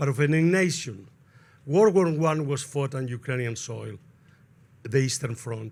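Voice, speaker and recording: There are long, frequent pauses in this man's speech. He speaks with a Spanish accent. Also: medium pitch for a man, ordinary pitch variation, moderate pace. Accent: clear Spanish accent in English. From Spain. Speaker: sociologist, panel speaker. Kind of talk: panel talk. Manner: digressive, halting.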